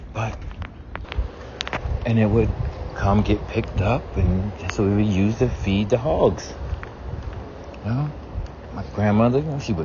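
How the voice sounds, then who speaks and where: Someone with an American accent speaks at a moderate pace with ordinary pitch variation. Noticeable background noise runs under the voice. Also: man. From US South, South Carolina. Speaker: vlogger. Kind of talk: casual monologue. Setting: outdoors, walking. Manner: casual, conversational.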